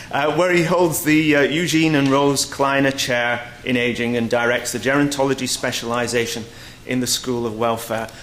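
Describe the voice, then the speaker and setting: In a British accent, a man speaks at a medium pitch with audible room echo and noticeable background noise. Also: ordinary pitch variation, moderate pace. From Britain. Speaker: research centre director, conference chair. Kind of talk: conference opening remarks. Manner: halting, many fillers.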